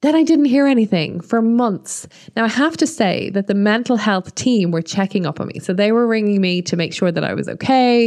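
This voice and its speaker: A woman with an Irish accent speaks at a moderate pace, her intonation lively. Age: 30s. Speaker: podcast host, marketing consultant and business mentor. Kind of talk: personal monologue.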